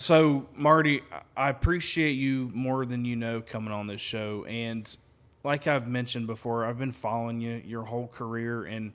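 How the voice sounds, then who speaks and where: Talking with a Southern accent, a man keeps a medium pitch, fairly even intonation and a moderate pace. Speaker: podcast host. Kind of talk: casual interview chat. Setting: his home.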